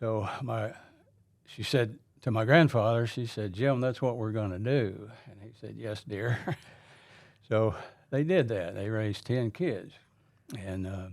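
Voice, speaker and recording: At a fairly slow pace, a man with an Appalachian accent speaks at a medium pitch with ordinary pitch variation, big swings in loudness and long, frequent pauses. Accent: Appalachian US Southern. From southern Appalachia. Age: 70s. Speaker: retired transportation worker, church member. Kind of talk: testimony. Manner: halting.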